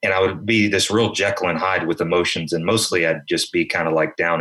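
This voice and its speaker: Very deep and low, a man's voice with a slight Southern US accent races along at a very fast pace with ordinary pitch variation. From South Carolina. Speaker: podcast co-host. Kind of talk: casual chat.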